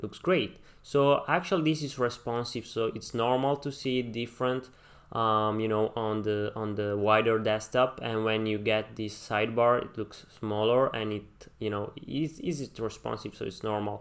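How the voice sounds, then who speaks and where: Here a man speaks at a moderate pace and medium pitch, with ordinary pitch variation. He has an ordinary speaking voice. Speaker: web design tutorial creator. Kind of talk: tutorial. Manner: many fillers (um, uh, you know).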